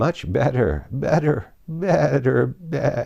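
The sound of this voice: Putting on a squeaky character voice, a man talks at a very slow pace in a fairly high pitch.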